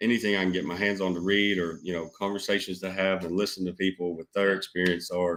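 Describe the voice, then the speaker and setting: A man's very deep, low, monotone voice with flat intonation, a very fast pace and hardly any pauses. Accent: Southern US. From Georgia, US South (Douglasville, west of Atlanta). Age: 20s. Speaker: business owner. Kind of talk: casual interview chat.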